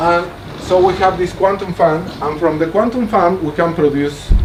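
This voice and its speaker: High in pitch, a man talks with lively intonation, audible room echo and noticeable background noise. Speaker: mathematician giving a research talk. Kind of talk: lecture.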